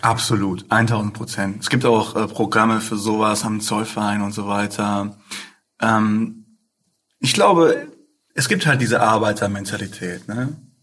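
A man with an unremarkable speaking voice talks at a fairly slow pace, his fairly low pitch held in fairly even intonation. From Ruhr area, Essen. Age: 20s. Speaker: rapper. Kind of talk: casual interview.

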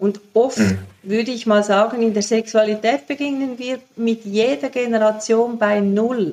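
In a plain, everyday voice, the speaker goes at a fairly slow pace with fairly even intonation. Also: woman, fairly high pitch for a woman. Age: 60s. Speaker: sexologist and author. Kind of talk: interview. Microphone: poor sound quality.

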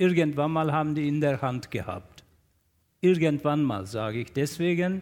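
With a Turkish accent, a man talks in a fairly high pitch with ordinary pitch variation, recorded very cleanly against a silent background. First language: Turkish (speaking German). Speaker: newspaper journalist and columnist. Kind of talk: panel discussion. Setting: stage with audience in a festival tent.

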